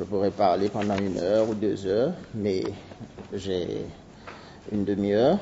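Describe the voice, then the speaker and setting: A man speaks with a Seychellois accent. His pace is fairly slow. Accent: Seychellois Creole accent in French. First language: Seychellois Creole (speaking French). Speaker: anthropologist. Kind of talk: conference talk. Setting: university seminar. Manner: halting.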